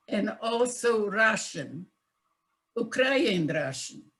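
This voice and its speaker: A somewhat breathy woman's voice, fairly high in pitch, with lively intonation. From Czechoslovakia. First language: Yiddish. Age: 90s. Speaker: Holocaust survivor. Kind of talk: testimony. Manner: slow; halting.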